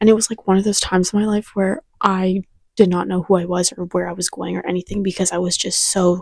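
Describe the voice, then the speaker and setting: Soft-spoken and somewhat breathy, a woman at medium pitch talks at a very fast pace, with a dry, close sound and no echo. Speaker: lifestyle vlogger. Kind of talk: casual vlog monologue. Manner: hesitant with fillers.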